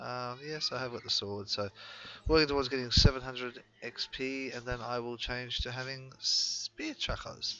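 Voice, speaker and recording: With an Australian accent, a man speaks at a moderate pace using ordinary pitch variation. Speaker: gaming YouTuber. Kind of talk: gameplay commentary. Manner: hesitant, many fillers.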